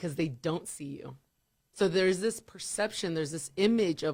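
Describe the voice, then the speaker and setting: With an American accent, a woman speaks at a fairly quick pace in an animated tone. Her pitch is fairly low, with ordinary pitch variation. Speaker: radio DJ. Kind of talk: casual chat.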